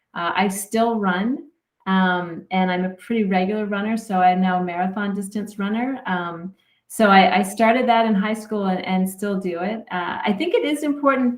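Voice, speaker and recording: A woman with a Canadian accent uses a normal speaking voice, talking at a moderate pace with medium pitch and ordinary pitch variation. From Canada. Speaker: sports psychologist. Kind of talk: podcast interview.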